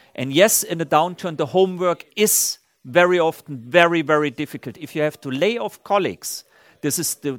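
On a very clean recording with a silent background, the voice moves at a moderate pace with big swings in loudness. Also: man, dry, close sound with no echo. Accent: German. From Germany, Saarland region. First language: German. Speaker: company CEO. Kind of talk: on-stage interview. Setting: stage with audience.

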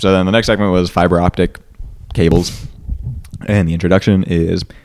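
A very fast-paced male voice, very deep and low in pitch, with fairly even intonation. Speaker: podcast host. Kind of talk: casual chat.

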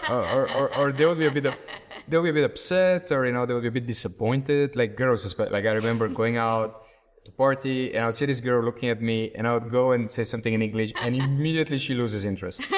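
A man talks very fast with a Bulgarian accent. His pitch is medium, with ordinary variation. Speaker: startup executive. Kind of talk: interview.

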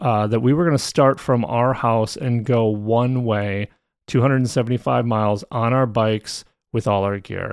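A man speaks at medium pitch and a fairly slow pace, with ordinary pitch variation. It is an unremarkable speaking voice over a quiet background. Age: 40s. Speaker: podcast host. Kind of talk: solo storytelling podcast. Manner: casual with frequent fillers and repetitions.

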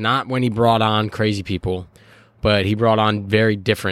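A man with an American accent has a plain, everyday voice and a fairly low pitch. His intonation is fairly even. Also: very clean recording, silent background. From Chicago. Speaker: podcast co-host. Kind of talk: casual chat. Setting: outdoors on a porch.

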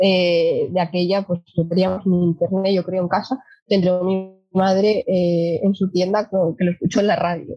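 Over music in the background, a woman speaks at a fairly slow pace with hardly any pauses, her medium-pitched voice monotone and flat in intonation, her loudness very even. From Asturias, Spain. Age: 20s. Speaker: sustainable mobility company employee, former kart racer. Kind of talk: casual interview.

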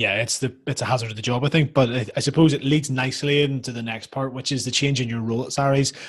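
A very fast, somewhat breathy delivery with fairly even intonation and hardly any pauses. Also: man, medium pitch for a man. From Northern Ireland. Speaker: podcast host, rugby player. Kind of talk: casual interview.

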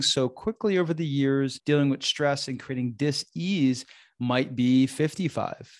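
A man's voice, a plain, everyday voice, fairly high pitched, with ordinary pitch variation, in a dry, close sound with no echo over a quiet background. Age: 40s. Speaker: relationship coach and yoga teacher, podcast host. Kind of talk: solo podcast talk on relationships and self-growth; guided breathing meditation inviting listeners to close eyes. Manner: warm, conversational, casual with filler phrases; slow, gentle, soothing invitations with pauses.

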